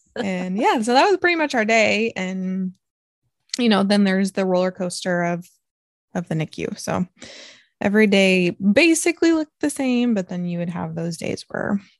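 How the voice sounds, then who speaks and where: Here a woman has a normal speaking voice at a medium pitch with ordinary pitch variation. She talks at a fairly quick pace, and the sound is dry and close with no echo. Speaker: podcast host, NICU parent. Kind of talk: casual chat podcast. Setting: home recording, kids show playing in background.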